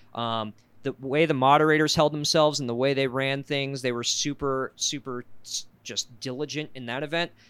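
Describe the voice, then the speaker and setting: In a normal speaking voice, a man with an American accent talks at a moderate pace with fairly even intonation. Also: fairly high pitch for a man. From US South. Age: 20s. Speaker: podcast co-host, foam blaster hobbyist. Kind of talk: casual chat.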